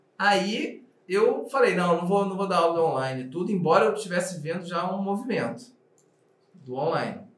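Amid audible room echo, a man with a high pitch speaks at a moderate pace, his intonation lively. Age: 40s. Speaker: actor and screenwriting teacher. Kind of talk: casual interview chat.

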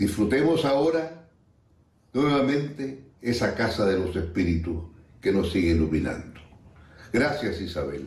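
The speaker is somewhat breathy and very even in loudness, moving through very wide pitch swings at a fairly slow pace with long, frequent pauses, and the room echo is audible. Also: man, fairly low pitch for a man. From Chile. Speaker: friend sending a recorded message. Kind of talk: recorded tribute.

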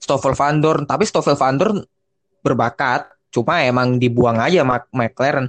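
In a plain, everyday voice, a man talks at a fairly slow pace with a fairly high pitch, ordinary pitch variation and very even loudness, the sound dry and close with no echo. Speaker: motorsport podcast host. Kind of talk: casual chat.

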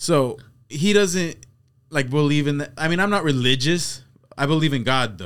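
A man speaks at a moderate pace with a fairly high pitch and lively intonation. His speech has long, frequent pauses. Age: 20s. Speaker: podcast host. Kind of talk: casual chat. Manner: animated storyteller.

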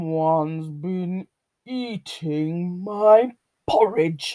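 In a put-on character voice, the speaker growls at a middle pitch and a very slow pace. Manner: growling.

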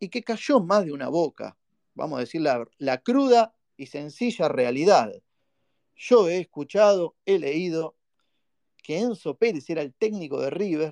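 Over a quiet background, with a dry, close sound and no echo, a man in an animated tone speaks at a high pitch with very wide pitch swings, a fairly slow pace and long, frequent pauses. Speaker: fan podcast host. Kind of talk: live call-in fan show. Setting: live online audio space.

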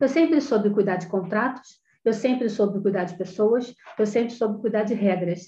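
A woman's somewhat breathy voice, fairly high in pitch with a dark, mellow tone, moves with ordinary pitch variation. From Rio de Janeiro, Brazil. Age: 50s. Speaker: professional condominium manager. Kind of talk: interview.

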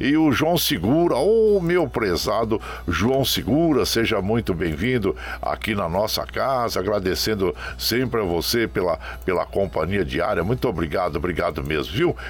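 A man with a fairly low pitch talks at a moderate pace, his loudness very even while his pitch swings very widely. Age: 60s. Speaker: radio host. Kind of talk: radio show, casual greetings to listeners. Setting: remote broadcast from home web radio. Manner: warm, folksy.

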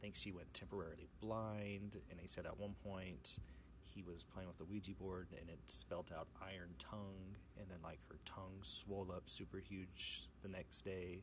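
With an American accent and vocal fry, a man with a very deep, low voice talks at a moderate pace, his pitch varying in an ordinary way while his loudness swings widely. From Oklahoma. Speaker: podcast host. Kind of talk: casual storytelling monologue.

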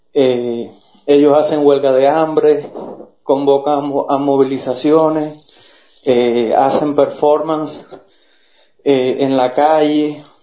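A man's fairly high pitch in a very slow, monotone, flat delivery, with long, frequent pauses, very even loudness and audible room echo. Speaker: Cuban activist. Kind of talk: political argument.

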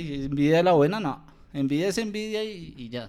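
A man with an unremarkable speaking voice, fairly slow pace and lively intonation. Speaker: podcast co-host. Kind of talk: casual chat. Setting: handheld microphone.

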